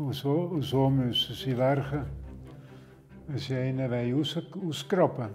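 A man at a very slow pace, fairly even intonation, long, frequent pauses, and faint music in the background. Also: medium pitch for a man. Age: 80s+. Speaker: retired civil engineer and search-and-rescue dog trainer. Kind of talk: interview answer, reminiscing. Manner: casual, hesitant. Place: home room.

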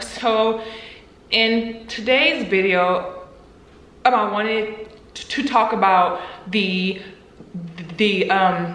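This voice belongs to a woman. Her pitch variation is ordinary. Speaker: YouTuber, stuttering advocate. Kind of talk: casual talk to camera.

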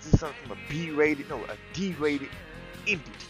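A man's fairly high voice with very wide pitch swings, a fairly quick pace, and music in the background. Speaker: gamer. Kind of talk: casual gameplay commentary. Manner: irritated, ranting.

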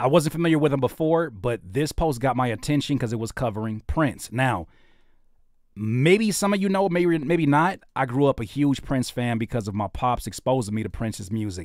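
An animated voice with an American accent moves at a moderate pace, its pitch swinging very widely. The sound is dry with no echo, against a quiet background. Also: man. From Los Angeles area, Southern California. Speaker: independent rapper, producer and YouTube host; YouTube host. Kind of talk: casual livestream interview. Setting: livestream studio. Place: studio. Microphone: studio mic.

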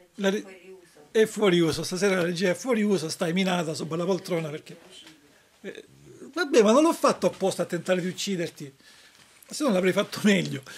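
Here a man's pitch sits high. His pace is moderate. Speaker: web show host. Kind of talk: playful live show hosting. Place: home room. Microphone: webcam.

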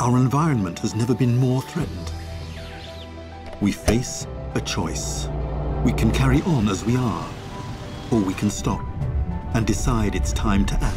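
Clear music plays in the background. Over it, a man speaks with long, frequent pauses. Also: moderate pace. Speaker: voice actor. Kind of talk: documentary narration. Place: studio.

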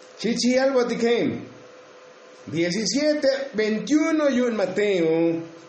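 With audible room echo and noticeable background noise, a man with a high pitch speaks very slowly using lively intonation. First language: Tsotsil (speaking Spanish). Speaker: preacher. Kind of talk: sermon.

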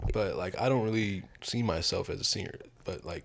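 At a fairly quick pace, a man with a low pitch and vocal fry speaks with ordinary pitch variation.

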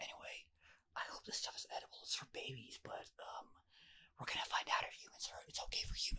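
Someone whispers at a very fast pace. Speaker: ASMR streamer. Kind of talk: casual talk to camera, ASMR rambling. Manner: soft-spoken, whispering. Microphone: studio mic.

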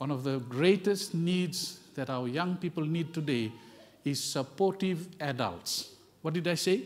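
High-pitched male voice, ordinary in pitch variation. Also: fairly slow pace. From South Pacific. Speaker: visiting pastor. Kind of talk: sermon. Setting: church. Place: church.

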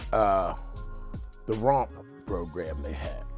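A man talks at a very slow pace while clear music plays behind him. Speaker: oral history interviewee. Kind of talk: interview answer. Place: home room.

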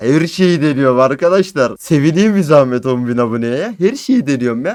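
With a fairly high pitch and very wide pitch swings, a man talks at a moderate pace. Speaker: gaming YouTuber. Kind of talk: casual vlog monologue. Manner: animated.

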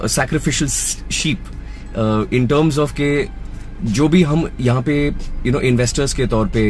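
A man speaks at a moderate pace. The sound is dry with no echo, and faint music plays in the background. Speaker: Hindi dubbing voice actor. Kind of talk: interview answer. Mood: earnest, encouraging. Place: car. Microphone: phone near.

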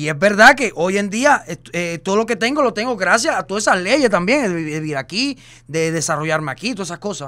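In a raised, projected voice, a man speaks at a fairly quick pace with a high pitch and very wide pitch swings. His tone is animated, and the background is quiet. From Cuba. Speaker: social media personality; podcast host or guest. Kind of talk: casual chat. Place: studio. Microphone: studio mic.

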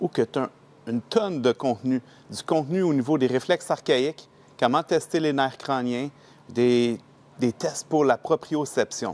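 In a Quebec accent, a man talks at a fairly slow pace with long, frequent pauses. His pitch is fairly high, with ordinary variation. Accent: Québécois French. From Quebec, Laval. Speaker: training participant, institute owner. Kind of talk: testimonial. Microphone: lapel.

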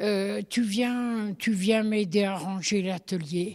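A woman speaks very slowly at a medium pitch, somewhat breathy, with fairly even intonation. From Haute-Savoie, France (Thônes). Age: 80s+. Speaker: blacksmith's widow. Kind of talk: interview. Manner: halting.

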